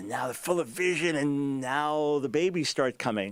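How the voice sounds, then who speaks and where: Ordinary pitch variation marks a man's speech, delivered at a moderate speed. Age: 60s. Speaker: radio host and Bible teacher. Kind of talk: sermon-style teaching on a talk show. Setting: on the road, remote broadcast. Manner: animated.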